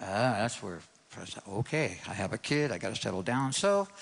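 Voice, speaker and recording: A man with an American accent speaks at medium pitch and a moderate pace. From New York City. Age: 60s. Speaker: guitar teacher. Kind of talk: testimony. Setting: church stage with audience.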